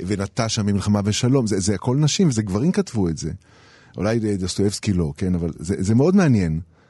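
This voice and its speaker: Speaking at a fairly quick pace, a man with a fairly low pitch and a dark, mellow tone uses lively intonation. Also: quiet background. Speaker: writer and illustrator. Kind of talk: interview. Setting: radio studio.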